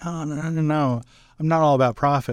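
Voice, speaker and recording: In an American accent, a man speaks at a very fast pace with a dry, close sound and no echo. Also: very clean recording, silent background. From US Midwest, Wahoo, Nebraska. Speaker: accounting firm founder. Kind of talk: interview. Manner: halting.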